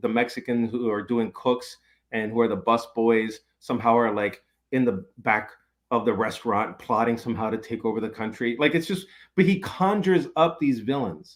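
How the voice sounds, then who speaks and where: At a moderate pace, a man with a normal speaking voice and medium pitch speaks with ordinary pitch variation in a very clean recording with a silent background. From New York City. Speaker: professor and author. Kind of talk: podcast interview.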